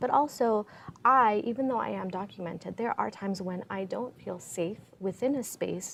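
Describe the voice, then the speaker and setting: Her pitch sits at a medium level and varies in an ordinary way as this woman talks at a moderate pace. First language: Spanish. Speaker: PhD candidate and immigrant rights activist. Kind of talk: panel discussion.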